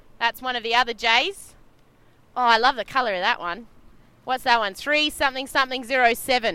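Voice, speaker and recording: Talking at a fairly quick pace with long, frequent pauses, a woman with an Australian accent has a high pitch, a bright, sharp tone and ordinary pitch variation. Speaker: sailing race commentator. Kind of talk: live commentary. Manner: animated.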